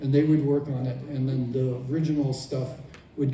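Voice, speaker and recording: A man at a moderate pace with monotone, flat intonation and audible room echo. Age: 70s. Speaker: former toy designer. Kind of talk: convention panel Q&A. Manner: halting.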